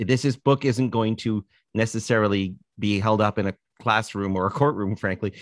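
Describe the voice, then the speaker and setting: With a Canadian accent, a man talks at a moderate pace and ordinary pitch variation, the sound dry with no echo against a quiet background. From Canada, Toronto. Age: 60s. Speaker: author and musician; guest. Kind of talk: casual interview chat. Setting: video call. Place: home room. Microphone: video call.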